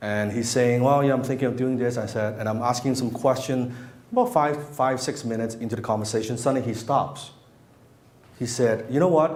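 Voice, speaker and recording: A man with a non-native accent, talking at a fairly quick pace in an animated tone, with audible room echo. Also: medium pitch for a man. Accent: speaks English with an. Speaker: marketing and copywriting coach. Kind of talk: seminar talk to live audience. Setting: room with live audience. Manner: animated, casual with frequent restarts.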